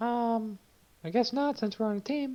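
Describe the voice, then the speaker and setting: This is a put-on character voice that sounds female and fairly high-pitched. The pace is moderate. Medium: actual play. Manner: terse, matter-of-fact.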